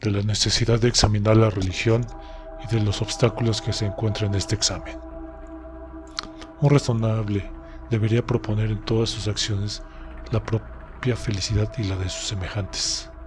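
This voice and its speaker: Over music in the background, a man with a Mexican accent talks at a moderate pace in a fairly low pitch, his intonation fairly even and his speech broken by long, frequent pauses. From Mexico. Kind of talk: audiobook narration.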